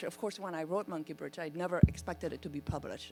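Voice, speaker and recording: Woman with an American accent over background music. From Vietnam, came to US as teen. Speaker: author and legal scholar. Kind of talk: panel discussion. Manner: halting, repeats words.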